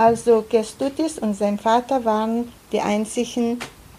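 Against noticeable background noise, a woman with a fairly high pitch speaks at a fairly slow pace. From Lithuania. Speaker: Holocaust survivor and interpreter. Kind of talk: consecutive interpreting of testimony. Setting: school auditorium with audience. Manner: halting.

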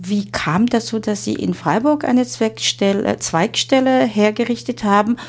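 The speaker has a Chinese accent and talks at a fairly slow pace over noticeable background noise. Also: woman. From China. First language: Chinese (speaking German). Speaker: interviewer. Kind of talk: interview. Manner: halting.

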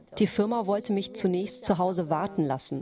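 Noticeable background noise runs under the recording. A woman with a Chinese accent talks at a moderate pace. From China. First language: Chinese (speaking German). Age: 40s. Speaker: immigrant housewife. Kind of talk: interview testimony.

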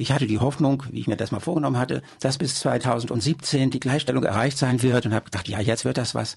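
Speaking fairly quickly with hardly any pauses, a man holds a medium pitch. His voice has vocal fry and ordinary pitch variation. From Germany. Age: 70s. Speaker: local party politician. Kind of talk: interview. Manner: hesitant with fillers.

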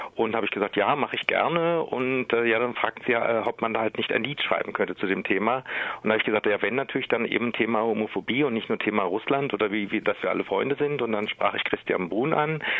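A man talks at a very fast pace with hardly any pauses, in a Berlin accent. His pitch is medium with ordinary variation. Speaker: singer and cabaret artist. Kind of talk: interview. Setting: phone call.

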